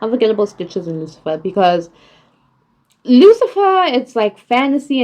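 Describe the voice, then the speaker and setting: A woman talks at a moderate pace. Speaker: vlogger. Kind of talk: casual TV series ranking monologue. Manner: casual, hesitant with fillers.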